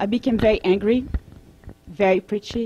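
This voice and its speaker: A woman speaks with a French accent at a moderate pace. Her pitch is fairly high with ordinary variation. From France. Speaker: vegan advocate and holistic coach. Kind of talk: presentation to an audience.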